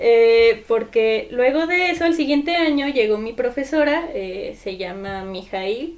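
Against noticeable background noise, a woman with a fairly high pitch speaks fairly slowly, her intonation lively. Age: 20s. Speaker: architecture student and keyboardist. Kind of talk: casual chat.

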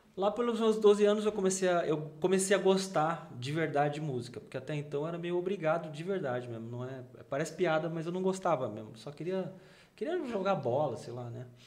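Here a man talks at a fairly quick pace in a high voice with lively intonation. His loudness swings widely, and audible room echo is present. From São Paulo, Brazil. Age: 40s. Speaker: gospel rock bassist. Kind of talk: casual chat.

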